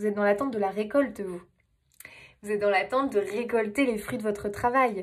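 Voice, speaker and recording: A woman talks at a fairly quick pace, her pitch fairly high. Her tone is animated. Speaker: tarot reader. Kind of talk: tarot reading monologue. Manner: animated, hesitant fillers.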